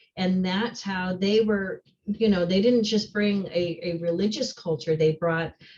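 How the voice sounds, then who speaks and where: A somewhat breathy woman's voice at a medium pitch, with ordinary pitch variation and a fairly slow pace. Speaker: social studies teacher. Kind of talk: online workshop discussion.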